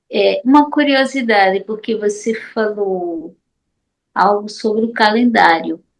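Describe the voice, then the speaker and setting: A woman with a medium pitch and ordinary pitch variation speaks at a very slow pace. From Paraíba, Brazil. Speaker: study group participant. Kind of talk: online group discussion.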